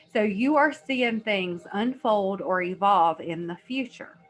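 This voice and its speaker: A medium-pitched woman at a fairly slow pace with ordinary pitch variation, music in the background. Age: 30s. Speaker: energy healer and psychic. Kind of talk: informal talk to camera. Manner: casual, conversational with fillers.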